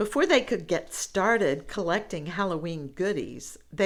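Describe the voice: What we hear is a plain reading of a text aloud.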